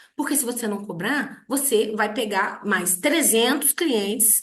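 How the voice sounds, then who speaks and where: Amid audible room echo, a woman speaks at a moderate pace with a fairly high pitch and lively intonation. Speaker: lawyer and online teacher. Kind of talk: online lecture. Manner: many filler hesitations.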